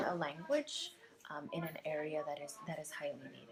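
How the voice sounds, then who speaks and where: The speaker is a woman. Noticeable background noise can be heard. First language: Spanish. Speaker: school counselor. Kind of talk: interview answer.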